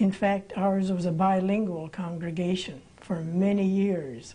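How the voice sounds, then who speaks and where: A woman speaks in a dark, mellow tone that is somewhat breathy. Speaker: interviewee, pastor's daughter. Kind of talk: interview answer. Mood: calm, reflective. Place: studio.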